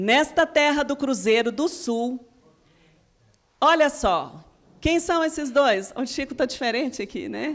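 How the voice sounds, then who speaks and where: Very slowly, a woman speaks in a high pitch with lively intonation. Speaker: spiritist lecturer. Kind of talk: lecture.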